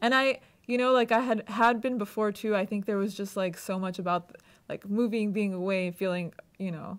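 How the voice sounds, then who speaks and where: This very clean recording has a silent background. A woman talks at a moderate pace with fairly even intonation. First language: not English. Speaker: law student. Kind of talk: interview answer. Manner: casual, conversational.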